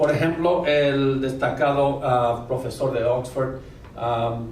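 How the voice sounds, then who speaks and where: Here a man speaks with a non-native accent and a fairly high pitch. Noticeable background noise and audible room echo come through. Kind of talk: lecture. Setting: university auditorium with audience. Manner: halting, many fillers.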